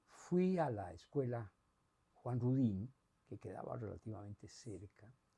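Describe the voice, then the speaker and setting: At a fairly slow pace, a man with a medium pitch and a dark, mellow, somewhat breathy tone speaks with big swings in loudness. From Costa Rica, San José. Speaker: retired academic. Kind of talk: interview testimony. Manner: hesitant, many filler sounds.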